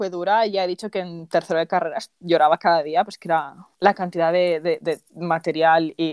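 In a very clean recording with a silent background and a dry, close sound with no echo, a woman speaks at a fairly slow pace. Hers is an unremarkable speaking voice at a medium pitch. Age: 20s. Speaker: podcast host. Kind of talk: casual chat.

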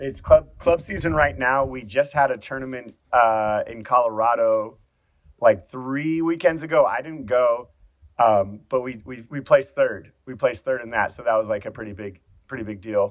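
A man's normal speaking voice at medium pitch, with a General American accent, ordinary pitch variation, big swings in loudness and a moderate pace. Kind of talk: casual chat.

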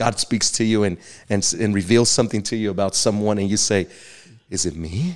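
In a very clean recording with a silent background, a man with an American accent and an ordinary speaking voice talks at a fairly quick pace, his fairly low pitch showing ordinary variation. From Texas. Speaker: pastor. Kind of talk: teaching/interview on theology.

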